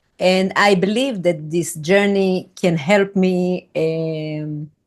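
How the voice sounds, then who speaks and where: Using a non-native accent, a woman speaks at a medium pitch and a very slow pace. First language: not English. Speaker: retreat team member. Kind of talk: video call conversation. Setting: video call. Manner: halting.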